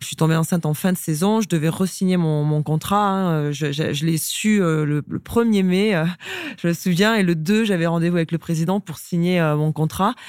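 A woman's fairly low voice at a moderate pace, with ordinary pitch variation and an unremarkable speaking voice. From rural France. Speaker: sports club executive. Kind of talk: interview conversation.

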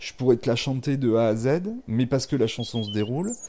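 Over a quiet background, a man with a dark, mellow tone talks at a moderate pace, his medium pitch showing ordinary variation. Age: 50. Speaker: chef. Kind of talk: casual chat. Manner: hesitant, many fillers.

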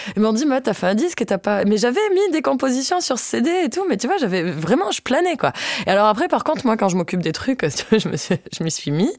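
The pace is fairly quick, with very wide pitch swings. Noticeable background noise sits behind the voice. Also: woman, fairly high pitch for a woman. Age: 20s. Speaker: accordionist. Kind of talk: casual interview.

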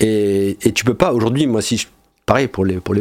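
Ordinary pitch variation runs through a man's fairly low voice. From Monaco. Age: 40s. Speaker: entrepreneur. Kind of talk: casual interview.

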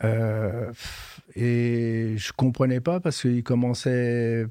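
A man's medium-pitched voice has a dark, mellow tone and fairly even intonation. The background is quiet. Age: 70s. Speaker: retired head gardener. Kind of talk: interview. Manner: halting, with many hesitations.

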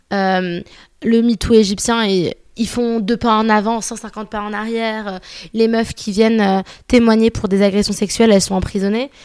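In a very clean recording over a silent background, the words come out at a fairly slow speed. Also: woman, fairly high pitch for a woman. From Paris, France. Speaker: podcaster. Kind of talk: casual chat. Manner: animated.

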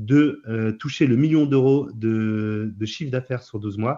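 A man's medium-pitched voice, fairly slow, with fairly even intonation. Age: 30s. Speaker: startup founder. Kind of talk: interview. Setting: video call. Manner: hesitant, frequent fillers.

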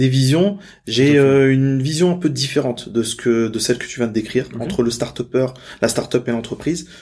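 A man with a plain, everyday voice speaks at a fairly quick pace, his medium pitch showing ordinary variation. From Normandy, France. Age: 30s. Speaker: entrepreneur and business coach. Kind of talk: interview.

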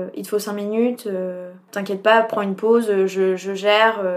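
Monotone, flat intonation in a medium-pitched woman's voice. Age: 20s. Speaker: social sciences student. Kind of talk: interview. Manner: casual, hesitant with fillers.

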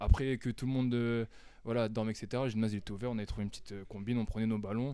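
This man's voice is medium in pitch, dark and mellow. He talks very fast in a flat monotone. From northern France, Amiens. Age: 20s. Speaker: basketball player. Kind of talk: casual interview.

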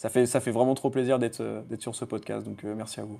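Man's medium-pitched voice, dark and mellow in tone, with vocal fry, a fairly quick pace and monotone, flat intonation. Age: 20s. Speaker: freelance SEO consultant. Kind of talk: casual chat.

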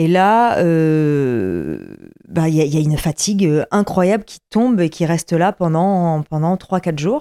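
Very slow and dark, mellow in tone, a woman speaks at a fairly low pitch with ordinary pitch variation, in a very clean, dry, close recording with a silent background and no echo. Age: 30s. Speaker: bike traveler. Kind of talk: casual chat. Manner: halting.

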